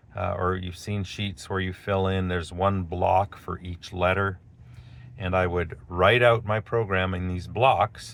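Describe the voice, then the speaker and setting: A speaker with a Canadian accent talks at a fairly slow pace. The intonation stays fairly even. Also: man, very deep, low pitch for a man. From Canada, Alberta. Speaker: video blogger. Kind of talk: storytelling monologue. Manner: casual, with fillers.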